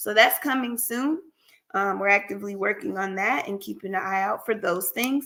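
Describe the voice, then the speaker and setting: Bright, sharp tone from a woman at a moderate pace, medium in pitch, with ordinary pitch variation. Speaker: therapist and practice owner. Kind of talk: casual livestream talk. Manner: casual, conversational.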